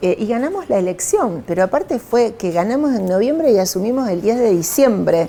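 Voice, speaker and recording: Speaking at a fairly quick pace with hardly any pauses, a woman with a Rosario accent uses lively intonation and a fairly high pitch, while noticeable background noise runs underneath. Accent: Rosario Argentine Spanish (rioplatense). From Argentina, Rosario. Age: 60s. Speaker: politician. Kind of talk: interview. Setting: newsroom.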